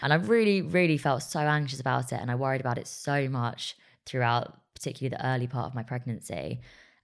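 A woman with an English accent speaks at a very fast pace. Her pitch is very deep and low with ordinary variation, and the recording is very clean, with a silent background. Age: 30s. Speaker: journalist and broadcaster. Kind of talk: casual chat.

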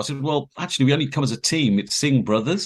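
A man talks very fast, with vocal fry in his voice. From England, Peterborough. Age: 60s. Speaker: former film crew member. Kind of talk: interview storytelling.

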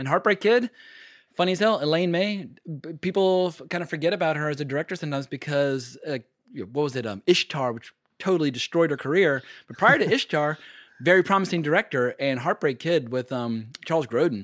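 An unremarkable speaking voice from a man, fairly high in pitch, at a fairly quick pace with lively intonation, dry and close with no echo, on a very clean recording with a silent background. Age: 40s. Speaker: film podcaster and YouTuber. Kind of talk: casual chat.

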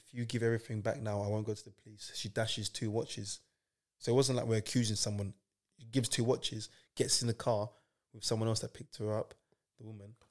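A man's very rapid, flat monotone at medium pitch, with big swings in loudness, on a very clean recording over a silent background. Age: 30s. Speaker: footballer. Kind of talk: casual chat.

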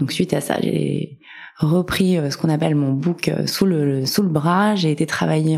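Noticeable background noise sits under a woman whose voice has a very deep, low pitch. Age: 30s. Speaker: career changer sharing her story. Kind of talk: interview testimony.

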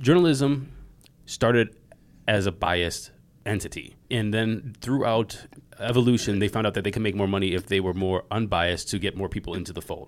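A plain, everyday voice with an American accent, ordinary pitch variation and a fairly quick pace. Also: man, fairly low pitch for a man. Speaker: podcast host. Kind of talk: interview conversation.

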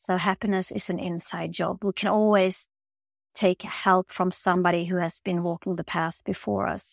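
With a Swedish accent, a woman talks at a medium pitch and moderate pace in a monotone, flat intonation, the sound dry and close with no echo on a very clean recording with a silent background. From Sweden. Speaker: holistic healer and yoga teacher. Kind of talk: personal testimony in interview.

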